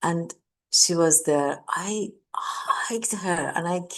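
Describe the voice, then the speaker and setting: Against a quiet background, a woman with a Persian accent speaks in a fairly low pitch. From Iran. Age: 60s. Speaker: mindfulness teacher. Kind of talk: talk. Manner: repetitive, halting.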